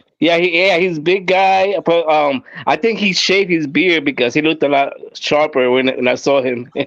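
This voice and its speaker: A man speaks with a Puerto Rican accent at a moderate pace, his pitch fairly high. His pitch varies in an ordinary way, and his loudness stays very even. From Puerto Rico. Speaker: live stream guest. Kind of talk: casual chat.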